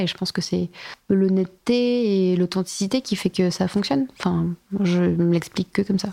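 A woman of medium pitch speaks in a dark, mellow tone with fairly even intonation, in a dry, close sound with no echo on a very clean recording with a silent background. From Bordeaux, France. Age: 30s. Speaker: fashion and home designer, brand founder. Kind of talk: interview, casual chat. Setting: recorded at her home.

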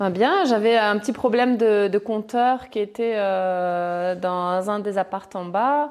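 A woman speaks very slowly and with hardly any pauses. Her voice is medium in pitch, with ordinary pitch variation. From Chile. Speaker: property investor. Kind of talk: interview. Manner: halting.

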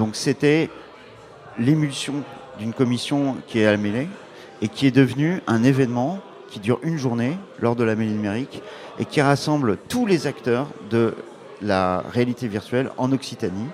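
Music plays in the background as a man talks at a medium pitch. He leaves long, frequent pauses. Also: ordinary pitch variation, moderate pace. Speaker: startup founder. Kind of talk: interview. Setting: live event with audience. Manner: energetic.

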